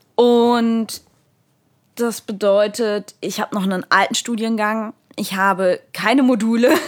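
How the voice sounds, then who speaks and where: In an unremarkable speaking voice, a woman talks at a fairly slow pace with a fairly high pitch and fairly even intonation. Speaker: theology student. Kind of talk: casual chat.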